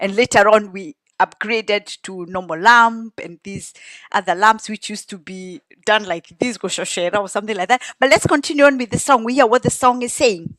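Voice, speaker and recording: Recorded very cleanly with a silent background and a dry, close sound with no echo, a woman with a Kenyan accent speaks fairly quickly at a fairly high pitch, with ordinary pitch variation and big swings in loudness. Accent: Kenyan (Kikuyu) English. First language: Kikuyu. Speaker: song translator and commentator. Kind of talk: casual explanatory commentary.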